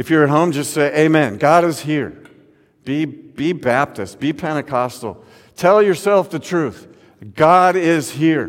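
Fairly slow and relaxed in tone, a man speaks at a fairly high pitch with ordinary pitch variation. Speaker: pastor. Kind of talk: sermon to a virtual congregation, warm and conversational, building to exhortation. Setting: online/virtual service with church building, some audience at home. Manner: earnest, warm, encouraging; rhythmic repetition ('God is here', 'God is in the midst of'); builds from chatty and relaxed to emphatic, pastoral exhortation.

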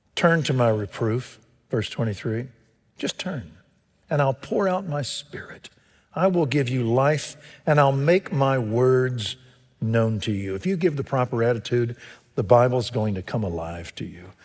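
A man with a Texan accent talks at a fairly slow pace in a medium pitch. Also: lively intonation. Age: 70s. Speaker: pastor. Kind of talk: sermon. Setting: church. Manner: animated.

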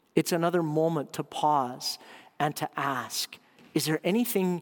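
At a fairly slow pace, a man with a Canadian accent and a fairly high pitch uses a normal speaking voice with ordinary pitch variation, recorded very cleanly against a silent background in a dry, close sound with no echo. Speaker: pastor. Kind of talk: sermon.

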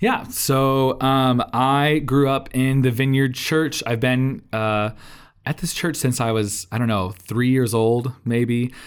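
Someone with an American accent speaks very slowly, with fairly even intonation and very even loudness. The recording is very clean, with a silent background. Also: man, medium pitch for a man. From Indiana, US Midwest. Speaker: church worship leader. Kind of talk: casual chat.

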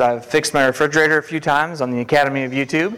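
A fairly high-pitched man at a fairly quick pace, with noticeable background noise. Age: 40s. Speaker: lay preacher. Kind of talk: sermon. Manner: fast.

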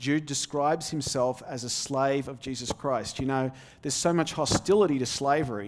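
With an Australian accent, a man speaks at a moderate pace in a fairly high pitch with ordinary pitch variation. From Australia, outback. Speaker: visiting preacher, seminary student. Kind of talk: sermon. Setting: church pulpit.

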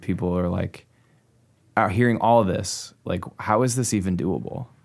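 In a Midwestern American accent, a man speaks with a fairly low pitch at a moderate pace. The recording is very clean, with a silent background. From US Midwest (Clinton, Iowa). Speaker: pastor and church planter. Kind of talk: casual interview conversation.

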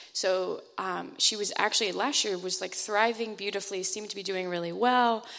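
With a normal speaking voice, a woman talks at a moderate pace and medium pitch with fairly even intonation. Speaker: church mission trip member. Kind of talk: church testimony.

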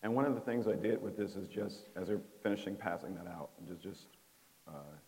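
A man's fairly low voice with a dark, mellow tone, ordinary pitch variation, big swings in loudness and a fairly quick pace. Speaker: trainer. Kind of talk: workshop presentation. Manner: halting.

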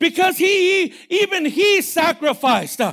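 A man speaks in a raised, projected voice. His tone is animated and his intonation lively. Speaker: preacher. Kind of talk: sermon. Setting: church with congregation and online audience. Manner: animated, fervent, preacher in full flow with rising emphasis; direct, exhorting the congregation and listeners at home.

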